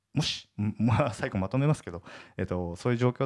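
Recorded in a dry, close sound with no echo, a man speaks fairly quickly. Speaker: entrepreneur podcast host. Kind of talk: solo podcast monologue. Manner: casual with many fillers.

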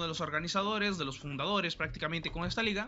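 A man with ordinary pitch variation. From Mexico, Oaxaca. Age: 20s. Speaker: esports caster and student. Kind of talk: casual interview chat. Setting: live stream.

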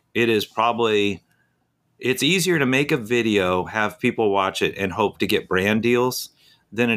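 The recording is very clean with a silent background as a man with a plain, everyday voice speaks at a moderate pace. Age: 50s. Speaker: full-time RVer and YouTuber. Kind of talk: casual interview.

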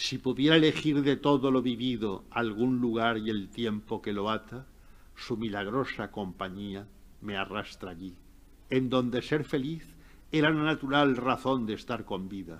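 A man's plain, everyday voice at medium pitch, with ordinary pitch variation, a fairly slow pace and a quiet background. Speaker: professor and literary scholar. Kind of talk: lecture and literary talk.

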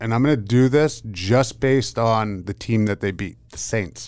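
On a very clean recording with a silent background, a man with an American accent speaks at a moderate pace and ordinary pitch variation. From Pennsylvania. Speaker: former football player, podcast co-host. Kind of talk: casual chat. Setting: studio. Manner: halting.

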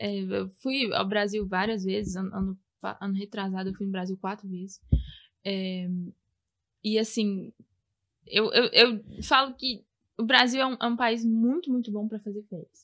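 A woman with a medium-pitched, bright and sharp voice speaks at a fairly slow pace with ordinary pitch variation, leaving long, frequent pauses. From Brazil, Belo Horizonte. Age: 20s. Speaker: podcast guest, Brazilian emigrant. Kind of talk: casual chat. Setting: at her home.

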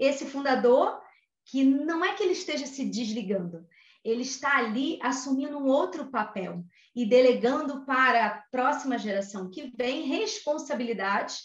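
A woman speaks in a high voice with lively intonation and a Rio de Janeiro accent. Room echo is audible. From Brazil, Rio de Janeiro. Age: 40s. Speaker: HR consultant. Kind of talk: interview. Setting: home office.

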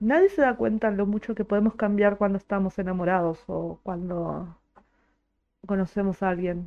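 Music sits in the background. A woman talks at a moderate pace and medium pitch with ordinary pitch variation. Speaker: podcaster and streamer. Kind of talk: casual monologue. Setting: live stream. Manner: animated.

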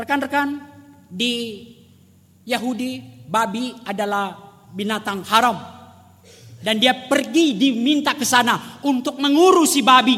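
A man's extremely high, raised, projected voice with a bright, sharp tone, ordinary pitch variation, a fairly slow pace, long, frequent pauses and audible room echo. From rural Indonesia. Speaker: preacher. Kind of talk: sermon.

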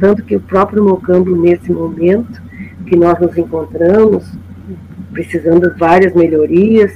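Pausing long and often, a woman talks at a fairly slow pace in a fairly low pitch with ordinary pitch variation and big swings in loudness. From Porto Alegre, southern Brazil. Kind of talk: storytelling testimony.

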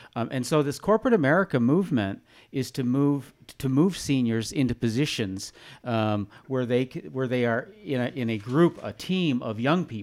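The recording is very clean, with a silent background, and a man speaks in a plain, everyday voice at medium pitch. His intonation is lively and his pace moderate. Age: 50s. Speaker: retired newspaper publisher. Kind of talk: casual chat.

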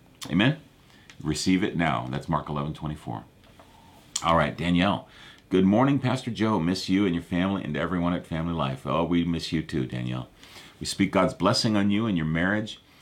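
With a very deep, low pitch, a man speaks at a fairly quick pace using lively intonation. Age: 50s. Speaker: pastor. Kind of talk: live prayer and prophecy broadcast. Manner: casual, halting with fillers.

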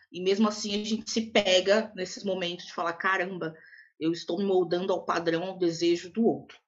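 In a normal speaking voice, a woman talks at a moderate pace with a medium pitch and fairly even intonation. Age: 20s. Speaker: podcast co-host, Portuguese teacher. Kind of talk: casual chat.

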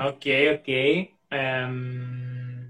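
A man with a Greek accent speaks at a medium pitch. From Greece, Xanthi. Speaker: language teacher. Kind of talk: casual interview chat. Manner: halting.

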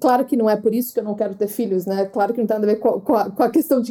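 A woman's voice carries a dark, mellow tone with ordinary pitch variation. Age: 30s. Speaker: podcast host and travel influencer. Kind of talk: casual chat.

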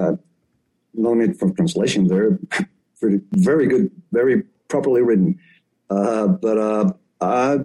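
A man with a medium pitch speaks very slowly, leaving long, frequent pauses, his tone dark and mellow and his loudness very even. His pitch swings very widely, and the sound is dry and close with no echo. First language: Spanish. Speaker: radio co-host. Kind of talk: radio interview. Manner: halting.

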